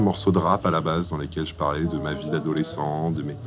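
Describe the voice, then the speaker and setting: With music behind it, the talking goes along fairly quickly. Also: man. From Egypt, then Caen in France from age 13. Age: 20s. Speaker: singer-songwriter. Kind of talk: interview portrait, personal account. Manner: hesitant, frequent fillers.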